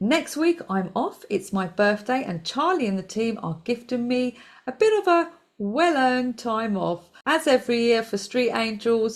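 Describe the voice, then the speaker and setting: A woman speaks at a fairly high pitch. Her tone is animated and her pace moderate. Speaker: financial news show host. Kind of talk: scripted news segment.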